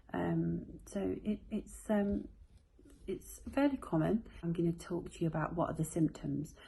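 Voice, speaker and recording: A soft-spoken woman with a British accent at a fairly slow pace. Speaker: health vlogger. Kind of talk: casual explainer to camera. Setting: at home at bedtime. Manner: quiet, soft-spoken; hesitant, many fillers.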